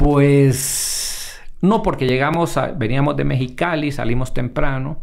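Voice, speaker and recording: Amid noticeable background noise and audible room echo, a man with a fairly high pitch and ordinary pitch variation speaks at a very slow pace with hardly any pauses. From Honduras, La Esperanza. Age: 50s. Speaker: emergency doctor. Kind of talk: casual interview chat. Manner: halting, many repetitions.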